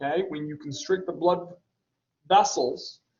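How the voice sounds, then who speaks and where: A man speaks at a fairly slow pace. His pitch is high. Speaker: college anatomy and physiology instructor. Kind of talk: lecture. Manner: casual, with many fillers.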